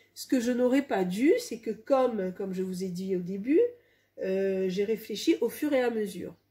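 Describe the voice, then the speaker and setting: At a fairly slow pace, a woman speaks in a fairly high pitch with a dark, mellow tone, lively intonation and a somewhat breathy quality. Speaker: home sewer. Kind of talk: casual talk to camera.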